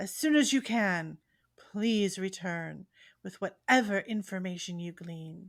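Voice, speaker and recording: A woman does a put-on character voice at a medium pitch. She goes at a fairly slow pace in a very clean recording with a silent background. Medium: actual play. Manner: formal, commanding.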